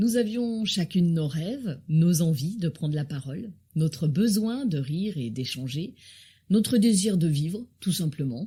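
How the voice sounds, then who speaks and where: This voice has a dark, mellow tone, a somewhat breathy quality and lively intonation at a very slow pace. The recording is very clean, with a silent background. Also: woman. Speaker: podcast host. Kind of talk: podcast interview introduction.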